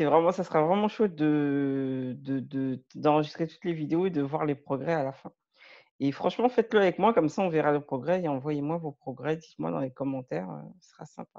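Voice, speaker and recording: Over a quiet background, a woman speaks fairly quickly with lively intonation, a very deep, low pitch and a dark, mellow tone. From France, Malian heritage. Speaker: language learner and video creator. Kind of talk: tutorial. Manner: halting, many fillers.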